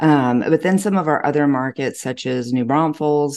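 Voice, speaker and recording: A woman with a Texan accent has a very deep, low pitch and a dark, mellow tone. She keeps a moderate pace against a quiet background. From Texas. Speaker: real estate agent. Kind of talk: casual chat.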